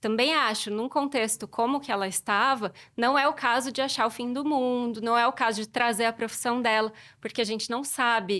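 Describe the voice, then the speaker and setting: A woman's fairly high voice at a moderate pace, fairly even in intonation, on a very clean recording with a silent background. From southern Minas Gerais, Brazil. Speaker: Portuguese teacher. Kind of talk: podcast interview.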